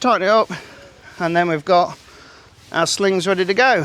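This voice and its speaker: A man with an English accent is heard over noticeable background noise. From England. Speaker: camping and fishing vlogger. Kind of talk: tutorial. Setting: outdoors. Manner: casual, halting with fillers.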